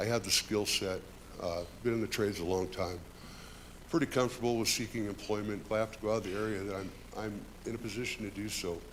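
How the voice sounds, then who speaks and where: Over audible room echo, a man with a fairly low pitch talks at a very fast pace with fairly even intonation, broken by long, frequent pauses. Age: 60s. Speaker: union carpenter, public commenter. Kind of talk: public comment at council meeting. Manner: unpolished, halting.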